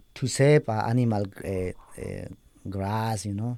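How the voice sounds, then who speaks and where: A man's medium-pitched voice, dark and mellow in tone, with a Spanish accent. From Bolivia, Andes highlands. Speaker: program graduate sharing his life story. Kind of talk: testimony. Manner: halting, searching for words.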